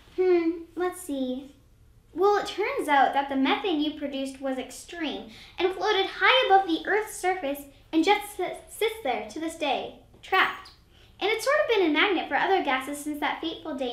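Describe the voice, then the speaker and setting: A put-on character voice, extremely high-pitched, at a moderate pace. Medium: comedy sketch. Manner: exasperated.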